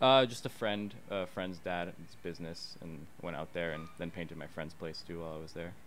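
A man with a very deep, low pitch speaks at a moderate pace with hardly any pauses and ordinary pitch variation. Audible room echo is present. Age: 20s. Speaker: artist. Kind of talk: casual chat. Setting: studio.

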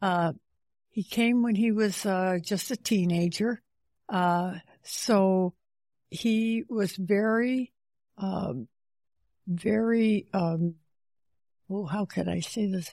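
In an American accent, a woman speaks at medium pitch with ordinary pitch variation and a dark, mellow tone, very slowly with long, frequent pauses, in a dry, close sound with no echo on a very clean recording with a silent background. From central New York State. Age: 90s. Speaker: retired teacher. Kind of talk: interview. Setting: retirement home. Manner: halting, many fillers.

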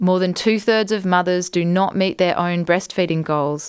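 A moderate pace in an Australian accent, on a very clean recording with a silent background. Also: woman. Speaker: podcast host and book author. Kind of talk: literary audiobook reading, author narrating her own book. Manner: warm, measured and gentle narration with a reflective, sincere tone.

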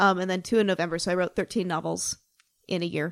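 A woman's unremarkable speaking voice, medium-pitched, with an American accent at a fairly quick pace, in a very clean recording with a silent background and a dry, close sound with no echo. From Salt Lake City, Utah. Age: 30s. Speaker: podcast co-host. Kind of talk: casual chat.

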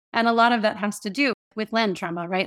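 In a very clean recording with a silent background, a woman with an American accent talks at a fairly quick pace with ordinary pitch variation in an unremarkable speaking voice. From US South (Tampa, Florida). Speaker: writer and workshop facilitator. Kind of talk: interview, reading own essay aloud then conversation.

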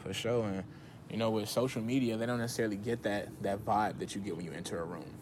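A man's medium-pitched voice with an American accent, delivered at a very fast pace amid audible room echo. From Chicago. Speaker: performing artist and teaching artist. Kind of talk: casual interview.

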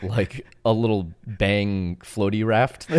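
A man's fairly low voice, with fairly even intonation, comes through on a very clean recording against a silent background. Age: 20s. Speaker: parkour athlete. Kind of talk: casual chat.

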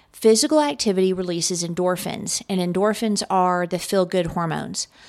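In an ordinary speaking voice, a woman talks at a medium pitch, with ordinary pitch variation. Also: very clean recording, silent background. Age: 50s. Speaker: business podcast host. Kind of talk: solo podcast tips talk. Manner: casual, filler-heavy.

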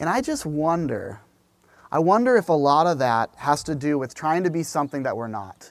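A man speaks in an ordinary speaking voice at a moderate pace. His intonation is lively. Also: fairly high pitch for a man. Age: 40s. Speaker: pastor. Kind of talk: sermon.

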